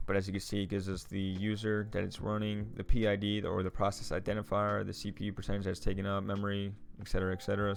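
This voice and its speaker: A man with a fairly low voice talks at a very fast pace. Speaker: tech YouTuber reviewing a book. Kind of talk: screen-share tutorial. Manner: casual, many fillers.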